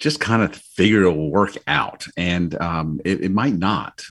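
A man's very deep, low voice comes through on a very clean recording with a silent background. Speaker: financial coach. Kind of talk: casual chat.

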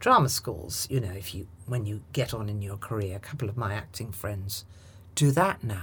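A woman's somewhat breathy voice with a British accent at a moderate pace, on a very clean recording with a silent background. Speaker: actress and communication trainer. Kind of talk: casual interview. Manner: commanding, authoritative.

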